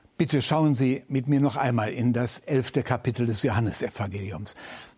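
A somewhat breathy voice with a dark, mellow tone and lively intonation moves at a fairly slow pace on a very clean recording with a silent background. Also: man. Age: 70s. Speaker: retired church leader and preacher. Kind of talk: sermon.

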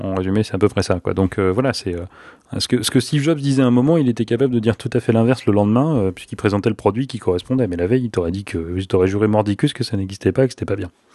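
Dark and mellow in tone, a man speaks at a fairly low pitch and a very fast pace with ordinary pitch variation. The sound is dry and close with no echo over a quiet background. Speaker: podcast co-host. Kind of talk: casual chat. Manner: joking.

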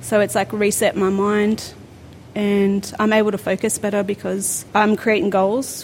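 A woman with an Australian accent, medium pitch for her voice. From New South Wales South Coast. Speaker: amateur boxer. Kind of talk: interview monologue.

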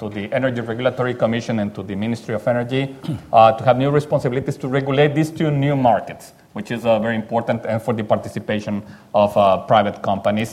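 A man with a Spanish accent talks at a very fast pace. His pitch is medium and his intonation fairly even. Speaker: Mexican congressman. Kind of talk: panel discussion.

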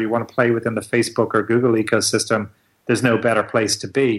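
In an American accent, a man with a medium pitch speaks at a very fast pace. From Ireland, South Dublin. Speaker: recruitment firm owner and networking group founder. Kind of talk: interview. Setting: Skype call.

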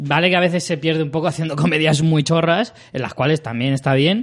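A man with a plain, everyday voice talks at a fairly quick pace, fairly high in pitch, with ordinary pitch variation. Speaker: podcast host. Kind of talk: casual chat.

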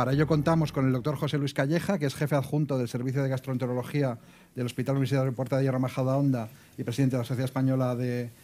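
With a dark, mellow tone, a man speaks at a very fast pace, his intonation fairly even and his loudness very even. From Torrejón, Madrid region, Spain. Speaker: health journalist, moderator. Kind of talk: moderated panel discussion.

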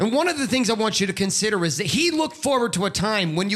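A man speaks at a fairly quick pace with a high pitch. His pitch swings very widely. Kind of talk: pep talk. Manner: fired-up, emphatic, urgent exhortation.

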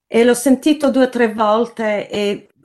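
A woman speaks with a fairly high pitch. Her pace is fairly slow. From Sydney, Australia (born in Naples, Italy). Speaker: journalist. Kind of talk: interview. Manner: halting, many repetitions.

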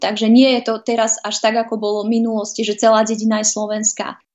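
A woman's fairly high, monotone voice at a very fast pace, with flat intonation and noticeable background noise. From Vojvodina, Serbia (Novi Sad). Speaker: TV presenter and journalist. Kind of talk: interview.

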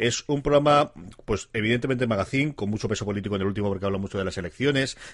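A man rattles along at a very fast pace, his fairly low pitch varying in an ordinary way. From Alicante, Spain. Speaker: tech podcast co-host. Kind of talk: casual chat.

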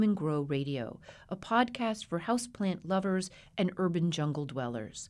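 A woman with an American accent speaks at medium pitch and a moderate pace. Her voice moves in very wide pitch swings on a very clean recording with a silent background. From Colorado. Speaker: radio host. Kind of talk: radio interview and scripted narration.

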